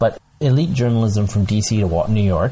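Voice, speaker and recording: A man speaks in a somewhat breathy voice with ordinary pitch variation, on a very clean recording with a silent background. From United States, born in Bangladesh. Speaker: geneticist and writer. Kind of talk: casual chat.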